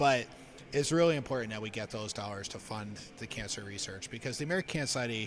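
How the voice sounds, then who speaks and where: With music in the background, a man talks very fast at medium pitch in a northeastern Pennsylvania accent, using ordinary pitch variation. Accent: Scranton. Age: 40s. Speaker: cancer charity staff member. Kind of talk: live stream fundraiser talk.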